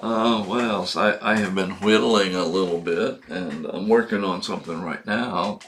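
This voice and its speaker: With hardly any pauses, a man speaks in a fairly low pitch with ordinary pitch variation against noticeable background noise. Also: moderate pace. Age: 70s. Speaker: video blogger. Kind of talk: casual monologue. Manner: halting, many fillers.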